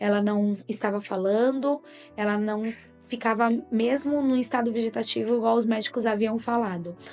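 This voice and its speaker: A woman's fairly high voice at a moderate pace, very even in loudness, with music in the background. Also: fairly even intonation. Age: 30s. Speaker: mother. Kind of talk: religious testimony.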